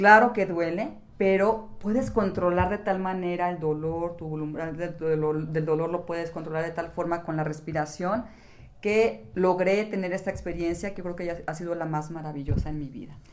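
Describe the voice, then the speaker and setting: The room echo is audible as a woman speaks at a fairly low pitch. Her pace is moderate and her pitch variation ordinary. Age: 60s. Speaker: yoga instructor and podcast co-host. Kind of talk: casual chat.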